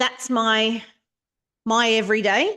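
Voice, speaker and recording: Very slow speech from a woman with an Australian accent, against a quiet background. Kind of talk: facilitating a club meeting. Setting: meeting room with online participants, microphone. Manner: teacher-like projecting voice; soft without microphone.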